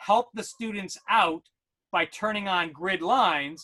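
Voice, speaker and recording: A man's raised, projected voice with an American accent, high in pitch with a bright, sharp tone, ordinary pitch variation, a fairly slow pace and a dry, close sound with no echo. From New York. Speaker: educational technology consultant. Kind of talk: webinar tutorial.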